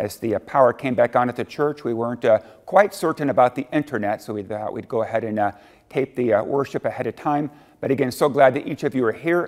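Against a quiet background, the voice moves at a fairly quick pace with ordinary pitch variation. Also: man. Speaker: lead pastor. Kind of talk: welcome and church announcements. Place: church.

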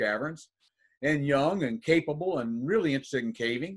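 At a moderate pace, a man speaks with very wide pitch swings over a quiet background. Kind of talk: presentation storytelling. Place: home room. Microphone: webcam.

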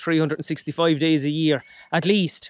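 The recording of this man is dry with no echo and has a quiet background. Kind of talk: casual vlog chat. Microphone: phone near.

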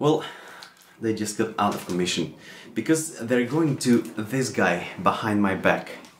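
Recorded with audible room echo and light background noise, a man speaks at a fairly slow pace. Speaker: tabletop RPG and crafts YouTuber. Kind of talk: casual talk to camera. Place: home room.

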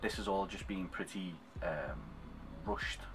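The speech moves at a moderate pace, with noticeable background noise throughout. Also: man. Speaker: cosplayer vlogger. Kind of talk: casual vlog chat. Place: home room. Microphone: webcam.

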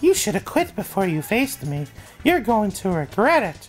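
A put-on character voice with fairly high pitch and very wide pitch swings. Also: moderate pace. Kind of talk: game text read aloud. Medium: solo performance. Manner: taunting, then gracious.

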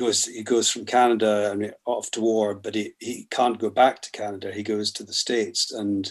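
A man with a Scottish accent speaks at a fairly slow pace and a fairly low pitch over a quiet background. His intonation is monotone and flat. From Scotland. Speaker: poet and novelist; poet. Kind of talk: interview answer. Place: home room. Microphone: webcam.

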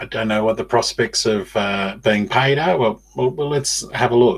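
Here a man talks with an Australian accent at medium pitch. His pitch varies in an ordinary way. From Australia, Newcastle NSW. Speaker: podcast host. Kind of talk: monologue podcast. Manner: halting, many fillers. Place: home room. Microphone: webcam.

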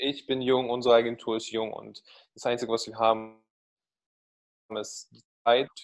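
Over a quiet background, a man speaks at a moderate pace with monotone, flat intonation, long, frequent pauses and big swings in loudness. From Russia. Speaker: marketing agency founder; guest. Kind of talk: podcast interview. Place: home room. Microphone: video call.

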